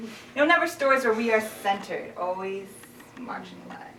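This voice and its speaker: Over noticeable background noise, a woman talks at a fairly high pitch with very wide pitch swings. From Kitchener-Waterloo, Ontario, Canada. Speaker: spoken word poet and singer-songwriter. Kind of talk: spoken word poetry performance.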